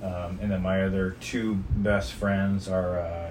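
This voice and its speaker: A man with an American accent, a very deep, low pitch, ordinary pitch variation and a very slow pace. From California. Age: 40s. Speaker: father being interviewed by his daughter. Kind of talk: oral history interview, reminiscing life story for his daughter, nostalgic and candid. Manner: relaxed, conversational, humorous, laughs at memories, sincere and earnest at the end.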